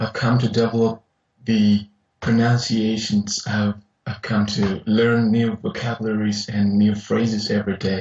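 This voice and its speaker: Speaking fairly slowly with a non-native accent, a man delivers his words in a fairly low, somewhat breathy voice and a monotone, flat intonation. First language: not English. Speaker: university engineering lecturer. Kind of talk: casual interview chat. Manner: halting, many repetitions.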